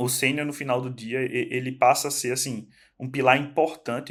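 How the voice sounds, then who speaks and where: A man speaks at a medium pitch and a moderate pace in a very clean recording with a silent background. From Northeast Brazil. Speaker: tech professional guest. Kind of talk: casual podcast chat. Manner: halting, many repetitions.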